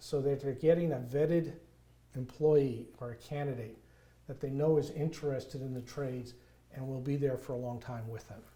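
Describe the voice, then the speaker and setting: A man with a strong New York accent speaks at a moderate pace and medium pitch, his dark, mellow tone somewhat breathy, his intonation fairly even and his loudness swinging widely. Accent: thick New York. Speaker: nonprofit construction volunteer. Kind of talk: interview conversation.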